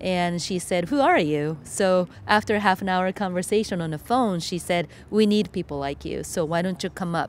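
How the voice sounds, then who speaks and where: A woman with a Japanese accent speaks at a fairly low pitch with ordinary pitch variation. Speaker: filmmaker and environmental educator. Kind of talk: interview. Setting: outdoors.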